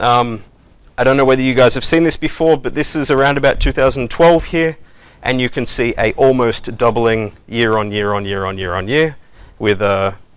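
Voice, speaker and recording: A man speaks in an Australian accent. His pitch is medium, with ordinary variation. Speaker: software development manager, conference speaker. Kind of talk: conference talk. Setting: stage with audience. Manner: fast; casual, filler-heavy.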